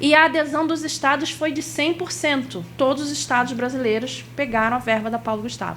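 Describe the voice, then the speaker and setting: A woman with a Rio de Janeiro accent speaks at a high pitch and a fairly quick pace, with hardly any pauses and ordinary pitch variation. Audible room echo and noticeable background noise fill the recording. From Rio de Janeiro, Brazil. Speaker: workshop instructor on cultural funding. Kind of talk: workshop lecture.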